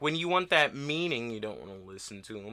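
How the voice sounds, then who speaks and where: With a bright, sharp tone and an animated, lively intonation, a man of medium pitch talks at a moderate pace in a very clean recording with a silent background. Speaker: music reaction youtuber. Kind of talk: casual rant to camera. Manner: slurred speech from medication; rambling, animated.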